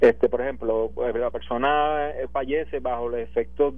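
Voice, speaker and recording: A man speaks with a Puerto Rican accent. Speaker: police commander. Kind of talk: interview. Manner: halting.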